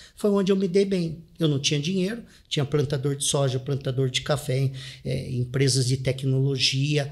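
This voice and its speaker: The recording is very clean, with a silent background. A man with a fairly high pitch sounds somewhat breathy at a moderate pace, with ordinary pitch variation. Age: 40s. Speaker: real estate investor and author. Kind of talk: interview.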